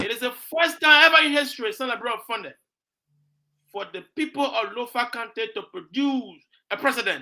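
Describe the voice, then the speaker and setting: With an animated, bright, sharp tone, a man projects a raised voice at an extremely high pitch, ordinary pitch variation and a fairly quick pace. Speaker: talk show host. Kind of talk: political talk show discussion.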